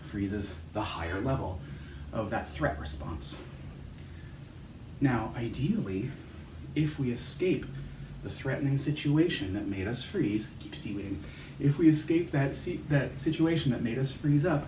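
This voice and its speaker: With audible room echo, the speaker goes at a fairly slow pace, with long, frequent pauses and very wide pitch swings. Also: man, medium pitch for a man. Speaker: chiropractor guiding movement exercises. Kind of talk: guided movement instruction. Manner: calm, slow-paced.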